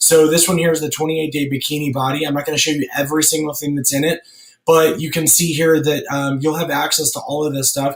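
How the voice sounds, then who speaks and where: A very fast, monotone, flat male voice over noticeable background noise. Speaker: fitness business coach. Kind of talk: tutorial. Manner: hesitant, many fillers.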